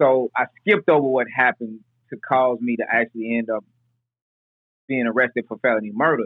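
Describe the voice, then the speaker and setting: A man with an American accent speaks at a medium pitch and a moderate pace. His pitch varies normally, and he leaves long, frequent pauses. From Nashville, Tennessee (US South). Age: 40s. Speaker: formerly incarcerated justice reform advocate. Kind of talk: interview.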